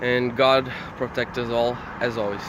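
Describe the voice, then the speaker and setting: A man speaks with a Portuguese accent. Noticeable background noise runs behind him. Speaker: YouTuber. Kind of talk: casual vlog. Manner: fast.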